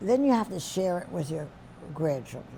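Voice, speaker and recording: Using a New York accent, a woman with a fairly low pitch and a dark, mellow tone talks at a fairly slow pace with very wide pitch swings. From New York City, the Bronx. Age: 80s+. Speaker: centenarian interviewee. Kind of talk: life story interview.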